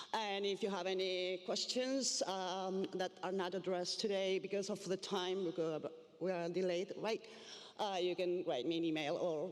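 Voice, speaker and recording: A woman with a Spanish accent speaks at medium pitch and a moderate pace. Her loudness stays very even and her pitch variation is ordinary. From Argentina, Buenos Aires. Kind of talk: conference presentation. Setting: stage with audience. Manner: halting, many fillers.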